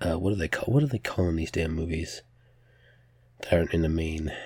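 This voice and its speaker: Somewhat breathy and very deep, low in pitch, a man talks at a very fast pace. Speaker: podcast host. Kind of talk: casual solo news roundup.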